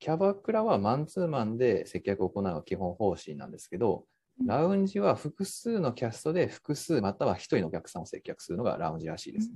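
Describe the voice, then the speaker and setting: A man with a medium pitch, a dark, mellow tone and vocal fry speaks with very wide pitch swings and hardly any pauses. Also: fairly quick pace. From Japan, Kagawa. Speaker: freelancer. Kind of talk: casual chat.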